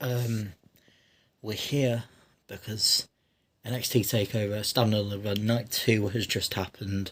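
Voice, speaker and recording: A man speaks quietly and fairly slowly with a fairly low pitch, somewhat breathy and with monotone, flat intonation. Long, frequent pauses stand out in a very clean recording with a silent background. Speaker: wrestling reaction youtuber. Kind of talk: casual video review. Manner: speaking quietly; hesitant, self-correcting.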